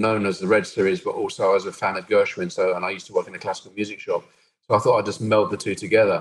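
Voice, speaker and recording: A man with a southern English accent speaks at a very fast pace in a medium pitch. His intonation is lively. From southern England, Brighton. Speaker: techno DJ and producer. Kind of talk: interview conversation.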